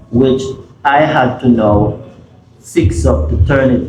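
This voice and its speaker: There is noticeable background noise and audible room echo. A man speaks in a Jamaican accent. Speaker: music producer. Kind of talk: interview. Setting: studio.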